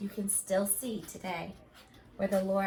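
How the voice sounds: Natural reading voice, nothing more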